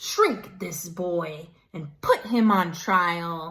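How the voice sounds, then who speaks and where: Very slowly, someone delivers the lines in a put-on character voice. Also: woman. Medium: read story.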